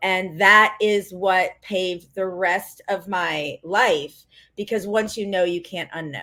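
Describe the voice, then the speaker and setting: Her tone bright and sharp, a woman speaks at a medium pitch and a very slow pace. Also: fairly even intonation. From US South, Greenville, South Carolina. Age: 40s. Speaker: life coach. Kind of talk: podcast interview.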